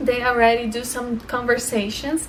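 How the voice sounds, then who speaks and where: A woman with a Brazilian accent speaks in a high pitch with monotone, flat intonation over light background noise. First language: Portuguese. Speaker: language-learning vlogger. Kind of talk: casual tutorial vlog. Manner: halting, with fillers and repeats. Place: home room. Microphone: phone near.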